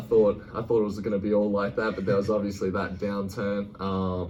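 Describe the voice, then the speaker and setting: A man with an Australian accent speaks at a fairly quick pace and a fairly low pitch amid audible room echo. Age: 20s. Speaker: college basketball player. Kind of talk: interview.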